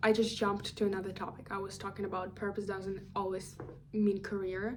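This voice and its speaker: Audible room echo surrounds a woman's voice. Her pitch is medium and her intonation is monotone and flat. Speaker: career vlogger. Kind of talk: casual monologue vlog. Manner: rambling, self-correcting with fillers.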